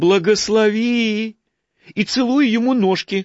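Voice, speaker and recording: This put-on character voice moves at a fairly slow pace. Its intonation stays fairly even. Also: man, high pitch for a man. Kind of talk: sugary, theatrical. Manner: fawning, obsequious.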